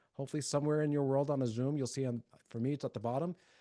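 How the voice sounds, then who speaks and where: Dry, close audio with no echo, carrying a man's dark, mellow tone. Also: quiet background. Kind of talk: webinar presentation. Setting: video call. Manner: fast.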